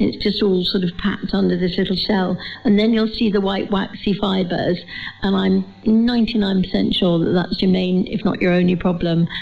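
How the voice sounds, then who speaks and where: Her loudness very even, a woman speaks in a medium pitch with monotone, flat intonation over noticeable background noise. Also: moderate pace. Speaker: gardening expert panelist. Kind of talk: panel discussion on live radio. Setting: stage with audience.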